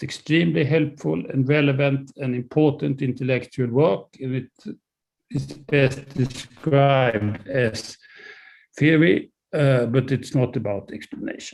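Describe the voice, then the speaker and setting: This man speaks with a Swedish accent and noticeable vocal fry. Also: medium pitch for a man, ordinary pitch variation. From Sweden. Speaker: professor. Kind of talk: lecture. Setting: video call. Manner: halting, many fillers.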